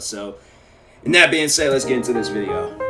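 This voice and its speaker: A man at a very fast clip over noticeable background noise. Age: 20s. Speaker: YouTube reaction creator. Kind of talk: casual reaction commentary. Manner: animated.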